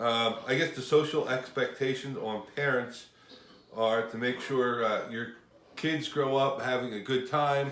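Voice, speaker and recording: A man speaks slowly at a medium pitch, with fairly even intonation. Noticeable background noise and audible room echo fill the recording. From US Northeast, Washington Township. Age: 50s. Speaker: auto mechanic. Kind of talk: interview.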